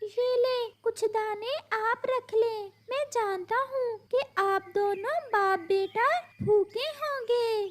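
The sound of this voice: Putting on a cartoonish character voice, a woman speaks at an extremely high pitch. She goes at a very slow pace.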